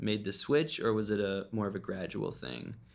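At a fairly quick pace, this normal speaking voice holds a fairly even intonation. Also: man. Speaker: podcast host. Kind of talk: casual interview.

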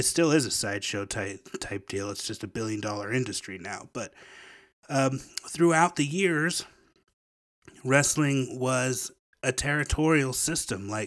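A man with an American accent speaks at a medium pitch and a fairly slow pace, his intonation lively. Long, frequent pauses break up his speech, and the recording is very clean with a silent background. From Memphis, Tennessee (US South). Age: 40s. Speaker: podcast host. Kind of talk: casual monologue. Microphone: new microphone.

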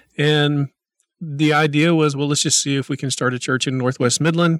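The voice has an American accent and fairly even intonation, recorded very cleanly against a silent background with a dry, close sound and no echo. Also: man. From Oklahoma. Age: 50s. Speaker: former pastor, city political candidate. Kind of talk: interview.

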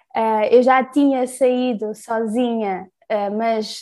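Against a quiet background, a woman speaks with fairly even intonation, a fairly high pitch and a dark, mellow tone. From Portugal. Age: 20s. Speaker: solo travel project creator. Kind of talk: casual interview.

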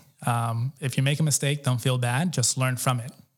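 A man's flat, monotone voice at medium pitch, somewhat breathy, with an American accent and a fairly quick pace. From New York City, Colombian American family. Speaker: entrepreneur and community event organizer. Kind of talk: interview. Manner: casual, filler-heavy.

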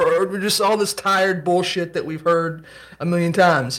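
Over noticeable background noise, a high-pitched man talks at a fairly quick pace with fairly even intonation. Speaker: podcast co-host. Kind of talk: casual conversation.

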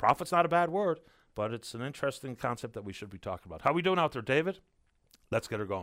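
Talking very fast with a Newfoundland accent, a man with a medium pitch makes very wide pitch swings and big swings in loudness. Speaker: radio call-in show host. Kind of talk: call-in radio talk show. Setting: radio studio.

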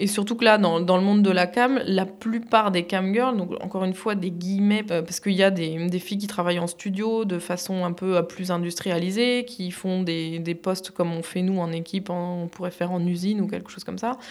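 A woman's unremarkable speaking voice, medium in pitch, at a moderate pace with fairly even intonation and hardly any pauses. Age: 30s. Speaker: cam model. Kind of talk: interview.

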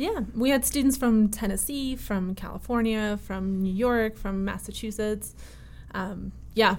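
A woman with an American accent speaks slightly breathily at a fairly high pitch, fairly slowly, with ordinary pitch variation. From Connecticut, US (early childhood in Russia). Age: 20s. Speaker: violinist and festival co-director. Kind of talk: interview conversation.

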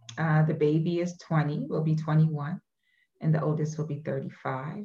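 A woman with a New York accent speaks in a very deep, low, somewhat breathy voice. Her tone is dark and mellow, her intonation flat and monotone. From Brooklyn, New York. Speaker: education advocacy director. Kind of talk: casual chat.

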